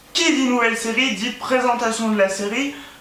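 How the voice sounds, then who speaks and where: Fairly slow male speech with audible room echo and noticeable background noise. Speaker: booktuber. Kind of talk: casual vlog monologue. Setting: at home, filming by his bed. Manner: hesitant, many fillers and repetitions.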